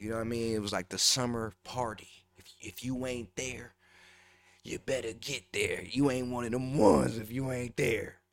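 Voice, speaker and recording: A man with a normal speaking voice talks at a moderate pace, his intonation fairly even but his loudness swinging widely. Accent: American. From Minneapolis north side, Minnesota. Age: 20s. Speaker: rapper. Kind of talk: casual interview chat. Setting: studio.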